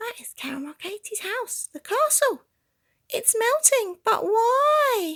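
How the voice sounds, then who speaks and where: Using a put-on character voice, a woman speaks at a fairly slow pace in an extremely high, squeaky pitch. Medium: read story.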